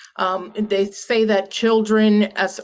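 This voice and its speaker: In a Puerto Rican accent, a woman talks with monotone, flat intonation. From Puerto Rico. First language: Spanish. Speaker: panelist, lawyer. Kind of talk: panel discussion.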